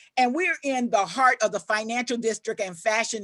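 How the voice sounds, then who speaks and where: The high-pitched voice of a woman comes through with a dry, close sound and no echo. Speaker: professor. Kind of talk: lecture. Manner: repeats words, stammers.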